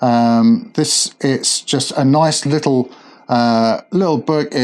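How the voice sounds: Just a natural reading voice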